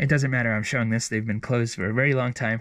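Quiet background behind a male speaker. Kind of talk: casual vlog chat. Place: home room. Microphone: phone near.

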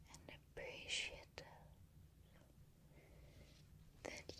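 A woman whispers, soft-spoken and breathy. Light background noise sits behind her. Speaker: ASMR creator. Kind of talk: soft-spoken affirmations to the viewer. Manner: soft, breathy whisper close to mic.

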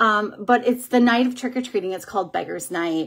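An ordinary speaking voice with an American accent. The intonation is lively. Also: woman. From Minnesota. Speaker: beauty vlogger and makeup seller; beauty vlogger, makeup seller. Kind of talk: casual livestream makeup tutorial. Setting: live video stream at home. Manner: chatty, with frequent um fillers. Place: home room. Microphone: phone near.

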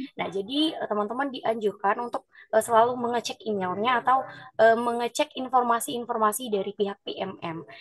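Using an ordinary speaking voice, a woman talks at a fairly quick pace and a fairly high pitch with ordinary pitch variation. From Nias, North Sumatra. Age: 20s. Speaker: university student liaison officer. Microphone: video call.

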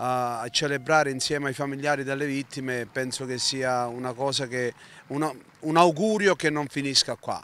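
Faint music plays behind a man speaking at a fairly slow pace. His intonation is fairly even, and the sound is dry with no echo. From Calabria, Italy. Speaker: teacher and community association member; teacher. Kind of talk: interview. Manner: halting, many fillers. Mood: solemn, earnest. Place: street. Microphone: handheld.

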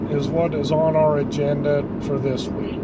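A man at a fairly slow pace, dry sound with no echo, and loud background noise behind him. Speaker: vlogger. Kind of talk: casual vlog chat. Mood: relaxed, upbeat. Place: car. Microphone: phone near.

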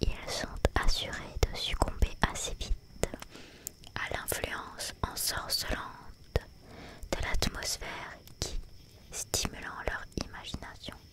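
A soft-spoken woman whispering at a very slow pace with long, frequent pauses, the sound dry with no echo, loud background noise behind her. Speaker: storyteller. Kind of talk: reading a story aloud. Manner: soft whispered storytelling reading.

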